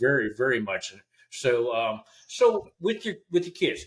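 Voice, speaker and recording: Vocal fry runs through this man's speech as his pitch swings very widely. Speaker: podcast host. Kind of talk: podcast interview host.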